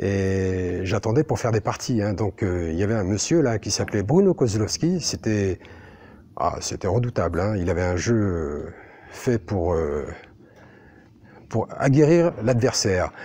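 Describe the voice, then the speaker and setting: At a fairly slow pace with long, frequent pauses, a man speaks in a fairly low voice with a dark, mellow tone and lively intonation. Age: 60s. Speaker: billiards player. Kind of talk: interview monologue. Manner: halting, many fillers.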